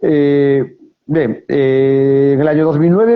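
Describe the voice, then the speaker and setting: With a Galician accent, a man speaks in a fairly high voice. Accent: Galician Spanish, noticeable. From Galicia, Spain. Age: 50s. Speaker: novelist. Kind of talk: interview. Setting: live video stream from mobile phone. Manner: hesitant, many fillers.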